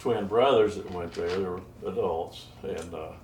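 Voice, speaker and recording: The speaker is a man with a fairly slow pace. There is audible room echo. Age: 80s+. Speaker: retired musician and songwriter. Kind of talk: oral history interview. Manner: halting, many fillers.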